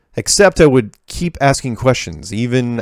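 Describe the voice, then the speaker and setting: A man talks fairly slowly and with lively intonation in an ordinary speaking voice. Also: very clean recording, silent background. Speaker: video show host answering listener emails. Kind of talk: reading listener emails aloud with commentary. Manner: casual, conversational.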